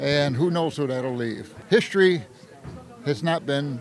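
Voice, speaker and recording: Against noticeable background noise, a man speaks at a moderate pace and fairly high pitch. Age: 70s. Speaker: protester. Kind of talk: news interview soundbite. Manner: halting.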